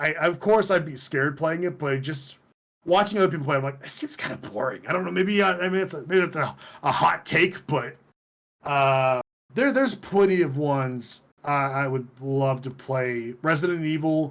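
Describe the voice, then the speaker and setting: This man has a fairly high pitch, lively intonation and an unremarkable speaking voice, talking at a moderate pace. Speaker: twitch streamer and podcast host. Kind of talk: casual chat.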